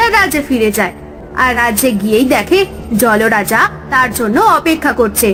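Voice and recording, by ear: A woman at a moderate pace, fairly high in pitch, with a fairly bright tone, lively intonation and faint music in the background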